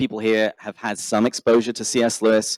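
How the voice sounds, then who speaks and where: Someone talks at a fairly quick pace with an English accent. The recording is very clean, with a silent background and a dry, close sound with no echo. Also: man. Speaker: podcaster. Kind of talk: conference talk.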